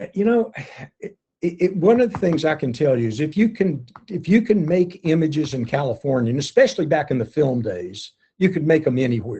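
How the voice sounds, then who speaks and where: A man's fairly high voice, dark and mellow in tone, with very wide pitch swings and a fairly quick pace. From US South, Arkansas. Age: 70s. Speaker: underwater photographer. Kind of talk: interview. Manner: halting, many repeats.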